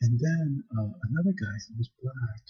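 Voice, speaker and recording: Soft-spoken and somewhat breathy, a man at medium pitch uses lively intonation in a dry, close sound with no echo. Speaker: video blogger. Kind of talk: personal vlog monologue. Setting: library. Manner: quiet, speaking softly; hesitant, many fillers.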